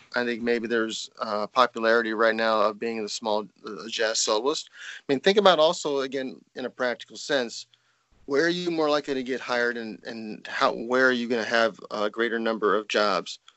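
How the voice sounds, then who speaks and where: At a moderate pace and medium pitch, a man speaks in a plain, everyday voice with ordinary pitch variation. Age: 50s. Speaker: trumpeter and music professor. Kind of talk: casual interview. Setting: Skype call.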